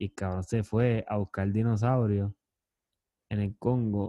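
A man's fairly low, monotone voice in a Puerto Rican accent at a moderate pace. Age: 30s. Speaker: podcast host. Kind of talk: casual chat.

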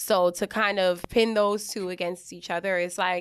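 On a very clean recording with a silent background, a woman of medium pitch speaks in a normal speaking voice. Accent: American. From Middletown area, New York. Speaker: podcast guest, former cross country runner. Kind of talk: casual chat.

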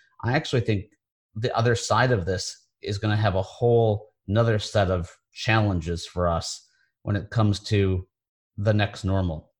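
A somewhat breathy man speaks at a moderate pace with a fairly low pitch. The recording is very clean, with a silent background. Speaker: podcast host. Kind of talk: interview. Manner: enthusiastic.

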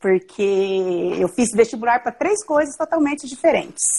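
A woman talks at a moderate pace, her high voice carrying lively intonation. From Mato Grosso do Sul, Brazil. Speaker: physician. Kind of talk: casual interview.

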